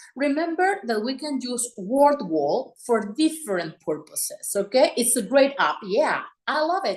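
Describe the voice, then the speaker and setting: A woman speaks at a high pitch with very wide pitch swings. Her pace is fairly slow, with hardly any pauses. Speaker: teacher presenting a workshop. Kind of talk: online workshop presentation. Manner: animated.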